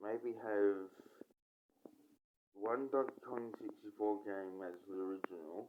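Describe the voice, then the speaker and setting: A man at a very slow pace, fairly low in pitch, with fairly even intonation and long, frequent pauses. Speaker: gaming YouTuber. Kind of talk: casual monologue. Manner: halting.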